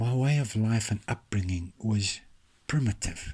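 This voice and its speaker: A somewhat breathy voice at a fairly slow pace, with ordinary pitch variation. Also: man. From South Africa, Orange Free State. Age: 60s. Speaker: author and self-help vlogger. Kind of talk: motivational monologue.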